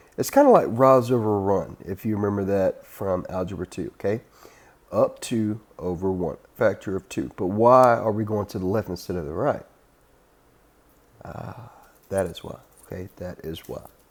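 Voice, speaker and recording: On a very clean recording with a silent background, a man uses a plain, everyday voice at a moderate pace, his fairly low pitch varying in an ordinary way while his loudness swings widely. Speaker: math teacher. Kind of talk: lecture.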